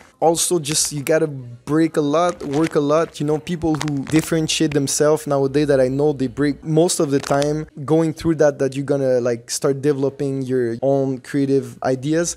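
A man's fairly high voice with a Quebec accent, monotone and flat, at a moderate pace with hardly any pauses, over light background noise. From Montreal, Quebec. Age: 20s. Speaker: breakdancer; interviewee. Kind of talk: interview.

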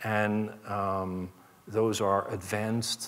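This man's voice is fairly low in pitch. His intonation stays monotone and flat. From Netherlands. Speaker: chief information security officer; keynote speaker. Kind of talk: keynote speech. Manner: hesitant, many fillers. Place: stage. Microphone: headset.

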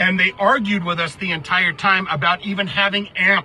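With a raised, projected voice, a man speaks at a moderate pace, the sound dry with no echo and light background noise behind him. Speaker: music commentary vlogger. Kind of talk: casual vlog commentary. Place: car.

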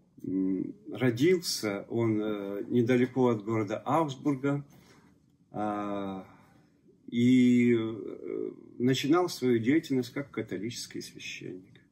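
Speaking at a very slow pace with long, frequent pauses, a man has a dark, mellow tone and ordinary pitch variation. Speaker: church deacon and local author. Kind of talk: interview answers. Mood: calm, storytelling. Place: cafe.

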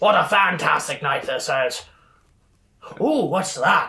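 Someone in a put-on character voice speaks raspily at a fairly slow pace. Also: man, high pitch for a man. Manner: boisterous, greedy, jovial.

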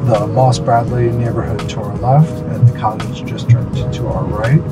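Loud music plays in the background. Over it, a man talks at a moderate pace. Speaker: real estate agent tour guide. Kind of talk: commentary. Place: car.

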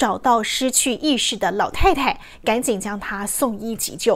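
The pace is fairly slow. Intonation stays lively throughout. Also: woman. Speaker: news anchor. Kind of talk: TV news anchor reading. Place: studio.

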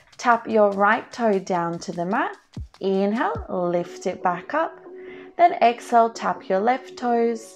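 Faint music plays in the background as a woman speaks at a very slow pace. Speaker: pilates instructor. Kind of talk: tutorial.

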